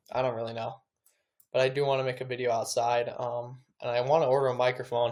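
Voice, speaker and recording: A man speaks at a fairly quick pace with a medium pitch, on a very clean recording with a silent background. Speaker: day trader recapping trades. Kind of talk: casual vlog monologue. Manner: fast.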